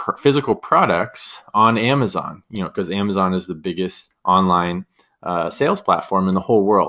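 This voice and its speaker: A man with a Californian accent, fairly low in pitch and bright, sharp in tone, at a moderate pace with ordinary pitch variation against a quiet background. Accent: Californian American. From US West Coast, San Diego, California. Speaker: podcast host, e-commerce business owner. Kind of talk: solo podcast monologue, casual.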